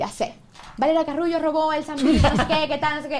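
A woman with a Zulian accent talks at a very fast pace. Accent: Venezuelan Zulian (maracucho) Spanish. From Venezuela, Zulia (Maracaibo). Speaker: TikTok creator. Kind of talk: casual chat. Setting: studio.

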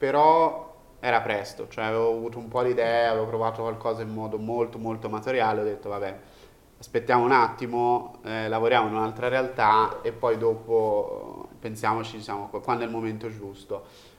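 Speaking at a fairly quick pace, a man uses a medium pitch and a monotone, flat intonation. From Tuscany, Italy (province of Florence). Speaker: startup founder and CEO. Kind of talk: casual interview chat.

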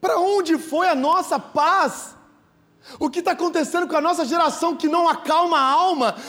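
An animated man speaks at an extremely high pitch in a raised, projected voice. Noticeable background noise is present. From São Paulo state interior, Brazil. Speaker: pastor. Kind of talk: sermon.

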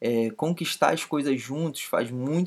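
A man with a normal speaking voice, medium in pitch, with ordinary pitch variation, on a very clean recording against a silent background. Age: 20s. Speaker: podcast co-host. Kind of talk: casual chat.

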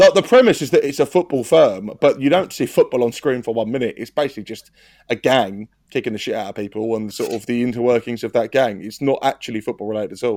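A man's medium-pitched voice with an English accent, very fast pace and ordinary pitch variation, in a dry, close sound with no echo. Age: 30s. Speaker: podcast host. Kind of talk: casual chat.

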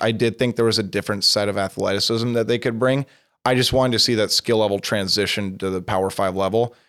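Here a man with an American accent talks at a very fast pace in a medium pitch. His ordinary pitch variation comes through on a very clean recording with a silent background. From Nebraska and southern Utah. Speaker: sports journalist. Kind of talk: casual interview.

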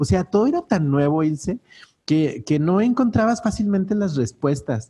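A man's dark, mellow voice against a quiet background. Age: 40s. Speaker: business coach. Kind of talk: interview.

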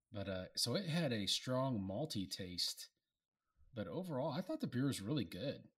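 A man at medium pitch and moderate pace, with very wide pitch swings, on a very clean recording with a silent background. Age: 40s. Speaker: beer review podcast co-host. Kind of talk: casual chat.

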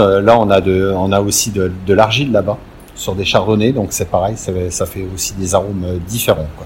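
Noticeable background noise sits under a man who speaks at a fairly slow pace. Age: 50s. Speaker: winegrower. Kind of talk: interview. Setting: on location at a vineyard. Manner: halting, many repetitions and fillers.

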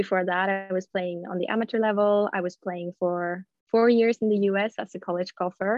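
A woman's medium-pitched voice with a Swedish accent, monotone and flat in intonation, at a moderate pace. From Sweden, Gothenburg. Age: 20s. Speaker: professional golfer. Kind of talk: casual interview.

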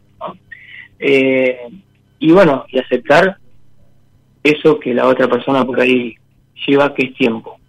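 Using long, frequent pauses, a man speaks at a fairly slow pace. His pitch is medium and his intonation fairly even. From Olavarría, Buenos Aires province, Argentina. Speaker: radio caller seeking advice. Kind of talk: personal testimony on call-in show. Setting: phone call. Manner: halting.

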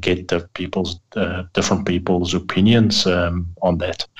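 This man's voice sits at a very deep, low pitch. He speaks at a fairly slow pace. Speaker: tech guy on a radio show.

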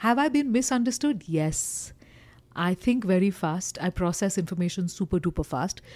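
With an Indian accent, a woman speaks at a fairly quick pace in a medium-pitched, dark, mellow tone, her pitch swinging very widely, with long, frequent pauses. The recording is very clean, and the background is silent. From eastern India. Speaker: corporate trainer and communication coach. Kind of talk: casual interview chat. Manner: straightforward, assertive.

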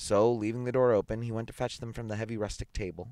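An unforced reading voice of fairly even intonation

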